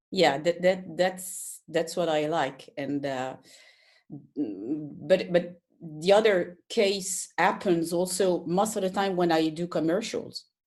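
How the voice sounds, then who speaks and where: A fairly low-pitched woman's voice with a French accent, very slow pace and ordinary pitch variation, on a very clean recording with a silent background. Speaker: colorist. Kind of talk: casual conversation. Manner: halting, hesitant.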